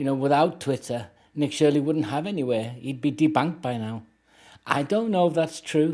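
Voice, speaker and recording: On a very clean recording with a silent background, a man with an unremarkable speaking voice and fairly high pitch talks at a moderate pace with ordinary pitch variation. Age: 60s. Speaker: commentary YouTuber. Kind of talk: casual commentary livestream.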